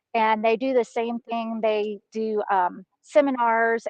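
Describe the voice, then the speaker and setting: Speaking in a Southern US accent, a woman uses a fairly high pitch. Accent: Southern drawl. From Texas. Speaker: hunting guide. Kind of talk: casual interview chat. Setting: video call from a mountaintop.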